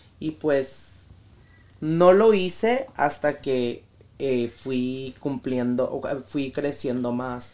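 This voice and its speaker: With ordinary pitch variation, a man talks at a very slow pace in a fairly high voice. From US, raised by Mexican family from Sinaloa. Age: 20s. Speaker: influencer. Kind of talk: casual chat.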